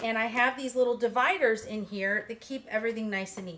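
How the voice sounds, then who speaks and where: Talking at a fairly quick pace, a woman uses a normal speaking voice, fairly high in pitch, with ordinary pitch variation. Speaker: quilting teacher. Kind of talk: tutorial. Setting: home studio.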